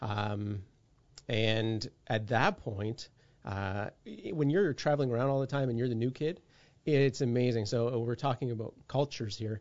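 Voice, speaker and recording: A man with a Canadian accent talks at a moderate pace, leaving long, frequent pauses. His pitch is medium, with ordinary pitch variation. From Canada, raised across many provinces. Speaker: police officer. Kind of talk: casual interview conversation. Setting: video call.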